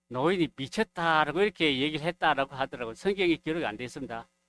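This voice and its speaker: The sound is dry and close with no echo as a man with a fairly high voice talks with ordinary pitch variation. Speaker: preacher. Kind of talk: sermon. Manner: gets louder as he goes.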